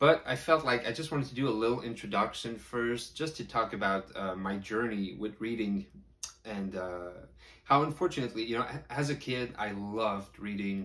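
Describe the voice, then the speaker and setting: A man speaks at a moderate pace in a plain, everyday voice. His pitch sits in the middle range, with lively intonation. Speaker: horror book reviewer. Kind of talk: casual talk to camera.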